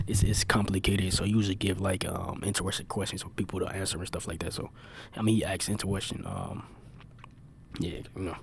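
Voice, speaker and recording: A quiet man with a fairly low pitch and monotone, flat intonation speaks at a very fast pace but leaves long, frequent pauses. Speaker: reaction video creator. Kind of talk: casual reaction commentary. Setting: library. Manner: casual, many fillers; quiet, keeping voice down.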